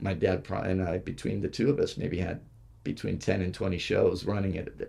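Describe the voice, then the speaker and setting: A man speaks at a moderate pace in a very deep, low pitch with a dark, mellow tone. His voice is somewhat breathy, with ordinary pitch variation. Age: 60s. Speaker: stunt coordinator. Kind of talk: interview. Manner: halting.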